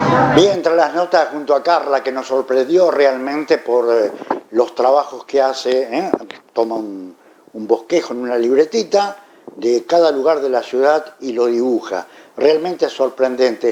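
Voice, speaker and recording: A man with a Rioplatense accent talks at a fairly slow pace and medium pitch, with ordinary pitch variation and noticeable background noise. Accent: Argentine Spanish (rioplatense). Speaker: interviewer. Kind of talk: interview.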